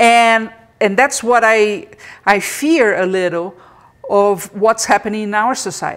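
Using an ordinary speaking voice, a woman talks at a fairly high pitch with ordinary pitch variation. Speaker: podcast host. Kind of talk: live interactive interview podcast. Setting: live video stream.

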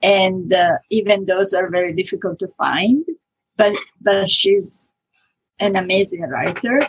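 Speaking with an Italian accent, a woman takes a fairly slow pace. Her delivery is unhurried. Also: medium pitch for a woman, ordinary pitch variation. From Italy. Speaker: author. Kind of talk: interview.

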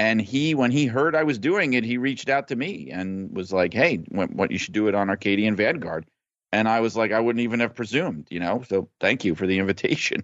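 An unremarkable speaking voice with an American accent moves at a fairly quick pace, its intonation lively. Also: man, medium pitch for a man. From New York, Brooklyn. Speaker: wrestling journalist. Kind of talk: casual chat.

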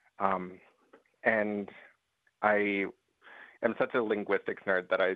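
A man speaks in an American accent at a fairly low pitch. His intonation is monotone and flat. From Southwest US, Pueblo and Mississippi Choctaw. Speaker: bead artist. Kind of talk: casual interview. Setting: Santa Fe, New Mexico. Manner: uses many filler words.

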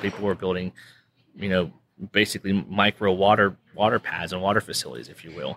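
A man with an American accent, fairly low in pitch, bright and sharp in tone, at a fairly quick pace. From Western Pennsylvania. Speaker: oil and gas business advisor. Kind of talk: casual interview. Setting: restaurant at a country club.

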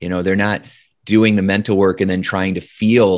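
With a Midwestern American accent, a man talks at a fairly quick pace in a very deep, low pitch. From US Midwest, Indiana. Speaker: hypnotist and leadership speaker. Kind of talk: interview.

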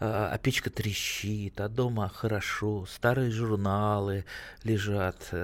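A man is speaking. His pitch is fairly low. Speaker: radio host. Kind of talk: call-in gardening advice show. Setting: studio. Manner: animated.

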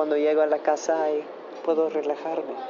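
Speaking with an American accent, a woman with a fairly low pitch is heard over noticeable background noise. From United States. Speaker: actress and model. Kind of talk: interview. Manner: halting, non-native phrasing.

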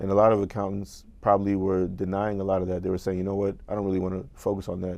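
A man's fairly low, dark, mellow voice, flat and monotone at a very fast pace. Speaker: podcast host and accounting firm founder. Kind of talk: casual interview.

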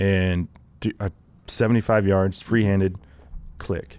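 A man with a Texan accent talks at a fairly slow pace and a fairly low pitch. The recording is very clean, with a silent background. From Texas. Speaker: outdoor show host. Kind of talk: casual chat. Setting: studio.

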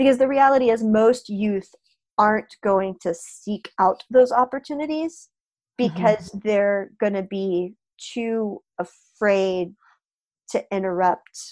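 With an American accent, a woman speaks at a very slow pace. Her voice is fairly high. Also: ordinary pitch variation, dry, close sound with no echo. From Florida. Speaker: project manager and developer, youth event organizer. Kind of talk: podcast interview.

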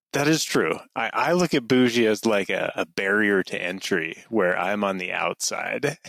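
A man with an American accent and a normal speaking voice speaks at a moderate pace with hardly any pauses, his fairly low pitch carried by lively intonation in a dry, close sound with no echo. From northern Utah. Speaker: knife company founder. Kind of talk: casual interview.

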